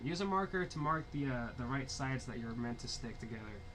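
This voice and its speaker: Pitched at a medium level, a man's voice moves at a fairly quick pace with lively intonation and audible room echo. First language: Spanish. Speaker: diorama-making livestreamer. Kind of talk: live stream tutorial with chat. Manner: casual, halting.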